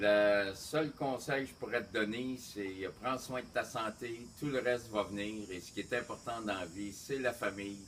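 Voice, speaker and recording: A man talks fairly slowly with hardly any pauses at a fairly low pitch with ordinary variation, over noticeable background noise. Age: 60s. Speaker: family member giving birthday wishes. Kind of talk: birthday message.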